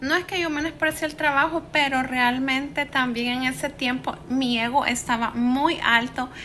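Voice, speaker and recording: With a Salvadoran accent, a woman speaks high-pitched in a raised, projected voice at a fairly slow pace, with fairly even intonation, hardly any pauses and noticeable background noise. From El Salvador, San Salvador. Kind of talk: personal life story told to camera.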